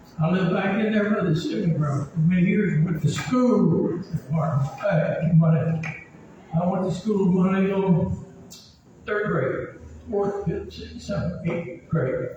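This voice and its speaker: Amid noticeable background noise and audible room echo, a man with an American accent speaks at a fairly slow pace in a high voice. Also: ordinary pitch variation. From US South, Marion County, Tennessee. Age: 90s. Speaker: local resident. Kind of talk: personal testimony. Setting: outdoor park meeting. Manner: rambling, emphatic.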